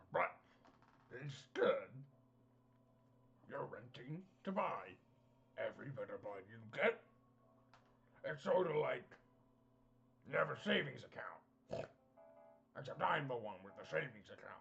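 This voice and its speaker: In a raspy, put-on character voice, a man speaks at a moderate pace with long, frequent pauses. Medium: actual play. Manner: glib, salesmanlike, chummy.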